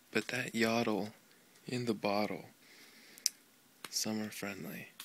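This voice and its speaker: A soft-spoken man's calm, fairly low, flat monotone at a fairly slow pace, with long, frequent pauses and noticeable background noise. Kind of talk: children's book reading. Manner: soft-spoken, calm.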